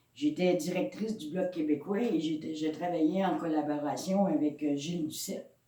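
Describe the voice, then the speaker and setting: A woman with a very deep, low pitch speaks at a fairly slow pace with fairly even intonation, her voice carrying audible room echo. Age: 60s. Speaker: pastor. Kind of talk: sermon. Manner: halting.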